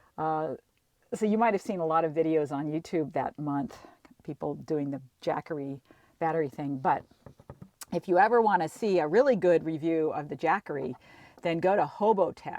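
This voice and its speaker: A woman speaks at a moderate pace in a very deep, low pitch with a dark, mellow tone and ordinary pitch variation. Her long, frequent pauses sit against a quiet background. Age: 60s. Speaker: travel vlogger. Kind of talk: casual chat. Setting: in a campervan. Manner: halting.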